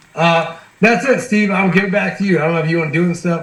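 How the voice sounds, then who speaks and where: Very fast, lively speech in an American accent, with audible room echo and noticeable background noise. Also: man. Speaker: sales team trainer. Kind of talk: online training call. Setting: video call. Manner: animated, casual.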